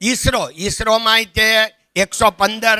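Against a quiet background, a man raises and projects his voice, his tone bright and sharp and the sound dry with no echo. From Saurashtra, Gujarat (Amreli district); Gujarat, India. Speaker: diamond businessman; guest lecturer. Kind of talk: motivational talk. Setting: college auditorium with audience. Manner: conversational. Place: hall. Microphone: podium.

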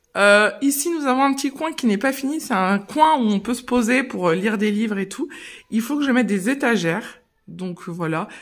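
Against a quiet background, a woman with a normal speaking voice talks at a moderate pace, her fairly high pitch carrying lively intonation. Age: 30s. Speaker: mother of three, lifestyle vlogger. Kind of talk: casual house tour talk to camera. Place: home room. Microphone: phone near.

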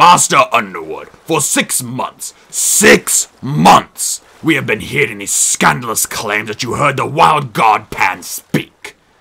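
A put-on character voice moves at a fairly slow pace with hardly any pauses and very wide pitch swings. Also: man, medium pitch for a man. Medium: read story. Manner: pompous, scornful.

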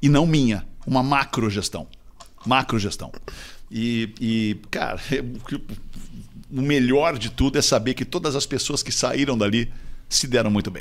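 Fairly slow speech from a man at medium pitch, with ordinary pitch variation and long, frequent pauses. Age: 50s. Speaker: radio broadcaster and executive. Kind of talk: casual chat.

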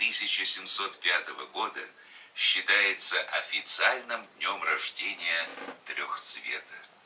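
A man talks at a very slow pace with long, frequent pauses, with noticeable background noise behind him. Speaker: broadcast announcer. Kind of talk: historical documentary narration. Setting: studio recording made in 2001.

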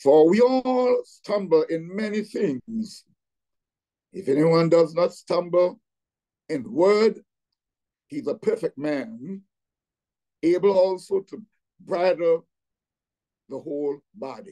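A man with a high pitch and a dark, mellow tone speaks at a very slow pace, with lively intonation and long, frequent pauses. His loudness swings widely against a quiet background. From Trinidad and Tobago. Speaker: pastor. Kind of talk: Bible teaching. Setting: video call. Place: home room. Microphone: video call.

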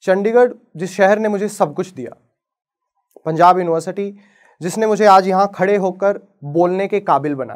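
A man speaks very slowly at a high pitch, leaving long, frequent pauses. His pitch varies in an ordinary way against a quiet background. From Haryana, Bhiwani; Haryana, India. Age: 20s. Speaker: advocate; lawyer. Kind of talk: inspirational talk. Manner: dramatic pauses. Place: stage. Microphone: lapel.

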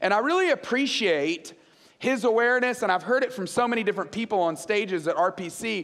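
In a quiet background, a man talks at a fairly quick pace in an animated tone with very wide pitch swings. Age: 40s. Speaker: guest preacher. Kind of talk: sermon. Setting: church stage with audience. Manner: conversational, animated. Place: stage. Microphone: headset.

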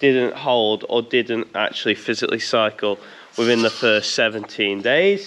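Light background noise sits under a man speaking with ordinary pitch variation. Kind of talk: casual vlog chat. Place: farm machine. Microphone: phone near.

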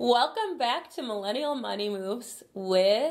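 A woman's voice in an American accent with very wide pitch swings. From Chicago. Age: 20s. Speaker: YouTuber; channel host. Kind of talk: casual chat. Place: office.

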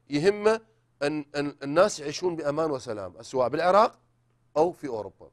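A man speaks at a moderate pace with a fairly high pitch and very wide pitch swings. The background stays quiet. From Iraq. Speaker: writer and novelist; talk show guest. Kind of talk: interview. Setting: studio. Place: studio. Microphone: lapel.

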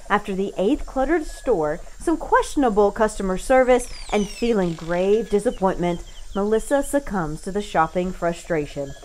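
Noticeable background noise behind a woman's fairly high, upbeat voice with very wide pitch swings at a moderate pace. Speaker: voice actor. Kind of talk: radio commercial read. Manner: upbeat, narrative, advertising tone.

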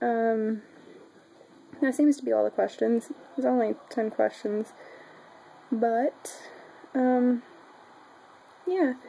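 A woman speaks at a very slow pace with a Southern US accent, her fairly high pitch carrying a dark, mellow tone and ordinary pitch variation. Long, frequent pauses break up her words over light background noise. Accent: Southern US, country. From Oklahoma, US. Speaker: vlogger. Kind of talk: casual talk to camera. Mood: shy, giggly. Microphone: webcam.

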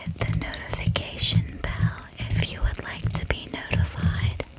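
Someone whispers at a very slow pace. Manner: soft, hushed ASMR voice.

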